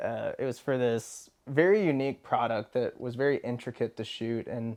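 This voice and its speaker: A man with an American accent speaks at a moderate pace and a medium pitch. His is a plain, everyday voice with ordinary pitch variation. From St. Louis, Missouri, US Midwest. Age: 20s. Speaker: video production company founder. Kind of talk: podcast interview.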